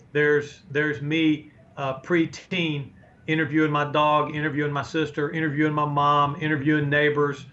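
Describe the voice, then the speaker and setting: A fairly high-pitched man speaks at a moderate pace. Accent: American. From North Carolina, Chapel Hill. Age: 60s. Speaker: sports play-by-play broadcaster. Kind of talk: interview. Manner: animated.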